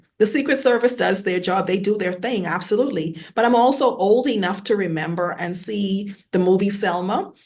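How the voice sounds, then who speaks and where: A woman speaks with a Bahamian accent. Her pitch varies in an ordinary way. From Bahamas, Nassau. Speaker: academic in technology sector. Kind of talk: panel discussion. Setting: video call.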